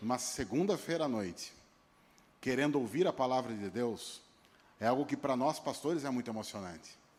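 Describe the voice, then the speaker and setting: His intonation stays lively throughout. The man talks fairly quickly. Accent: São Paulo interior. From interior of São Paulo state, Brazil (Piracicaba). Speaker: pastor. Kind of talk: sermon. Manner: halting, repeats words.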